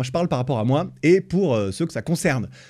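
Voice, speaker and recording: A man's voice swings very widely in pitch on a very clean recording with a silent background. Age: 30s. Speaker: podcast host. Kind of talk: solo podcast monologue. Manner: casual, hesitant with fillers.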